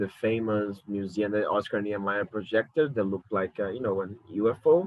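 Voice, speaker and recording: A man speaks with a Brazilian Portuguese accent. His pace is moderate. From Brazil, Rio de Janeiro. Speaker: curator. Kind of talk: lecture. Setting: alone at home talking to a camera. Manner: halting.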